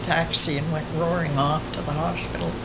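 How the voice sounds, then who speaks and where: A woman talks at a moderate pace. Loud background noise fills the recording. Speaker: elderly family member. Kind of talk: interview answer. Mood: reflective, somber recollection. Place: home room.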